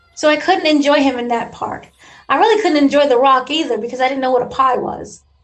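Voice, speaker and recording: A woman talks at a very fast pace in a high pitch. Her pitch variation is ordinary. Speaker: podcast guest and writer. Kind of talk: casual interview chat. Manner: playful, joking.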